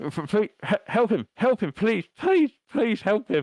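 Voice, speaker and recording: In a put-on character voice, a man speaks at a very slow pace with a high pitch. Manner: desperate, pleading.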